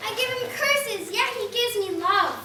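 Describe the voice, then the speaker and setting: At a moderate pace, a woman puts on a squeaky character voice at an extremely high pitch, with a slight echo and clear background noise. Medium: stage play.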